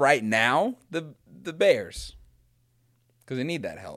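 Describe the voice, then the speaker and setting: The recording is very clean and the background silent. A man talks very slowly. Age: 20s. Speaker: podcast co-host. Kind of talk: casual sports chat.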